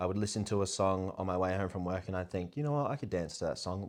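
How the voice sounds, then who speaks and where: The speaker talks with an Australian accent. The pace is very fast. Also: man, quiet background. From Australia (country South Australia, Port Augusta). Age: 20s. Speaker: content creator and tradesman. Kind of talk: personal vlog storytelling.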